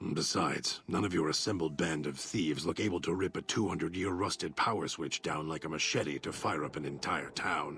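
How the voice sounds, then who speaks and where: A man speaks in a put-on character voice, his pitch very deep and low. He talks at a fairly quick pace over clear background noise. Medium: video game. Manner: menacing, articulate, resentful.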